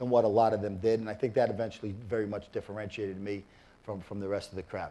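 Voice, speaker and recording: A man with a New York accent talks at a very fast pace in a dark, mellow tone. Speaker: business executive and former football coach. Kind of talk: interview.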